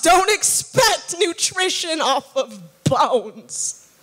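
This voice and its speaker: A woman's raised, projected voice at a very slow pace, with very wide pitch swings. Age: young. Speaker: spoken word artist. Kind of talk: spoken word poetry performance. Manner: powerful, compelling. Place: church. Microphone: handheld.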